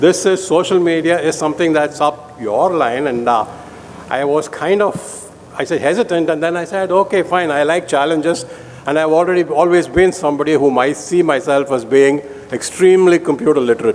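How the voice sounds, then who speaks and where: A man with a fairly high voice talks fairly quickly as noticeable background noise plays underneath. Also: ordinary pitch variation. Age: 70s. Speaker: surgeon giving a lecture. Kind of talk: lecture.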